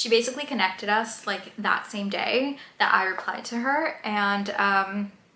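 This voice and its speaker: A woman speaks at a moderate pace and a fairly high pitch, with audible room echo and noticeable background noise. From Colombia. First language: Spanish. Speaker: YouTuber. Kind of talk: casual vlog storytelling. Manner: hesitant, many fillers.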